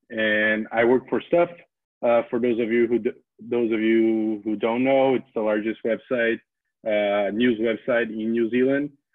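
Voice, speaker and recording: At a fairly slow pace, a medium-pitched man speaks in a monotone, flat intonation with very even loudness. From Brazil. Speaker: data journalist. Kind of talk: lecture. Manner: halting, many fillers and repeats.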